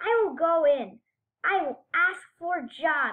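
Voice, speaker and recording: A woman puts on a character voice with an extremely high pitch. She talks at a fairly slow pace. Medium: read story.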